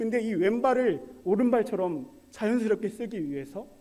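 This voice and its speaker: Speaking with lively intonation, a man uses a high pitch. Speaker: preacher. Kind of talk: sermon. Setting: church service. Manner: conversational, asks audience questions.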